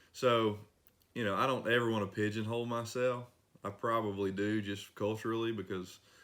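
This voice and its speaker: A man talks with an East Tennessee accent. His pace is fairly quick and his intonation monotone and flat. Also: medium pitch for a man. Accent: East Tennessee Appalachian. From Northeast Tennessee, Rogersville. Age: 30s. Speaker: singer-songwriter. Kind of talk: interview.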